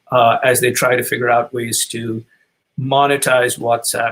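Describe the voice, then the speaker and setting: With a medium pitch, a man talks in an ordinary speaking voice. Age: 60s. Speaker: author and business advisor. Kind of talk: webinar talk.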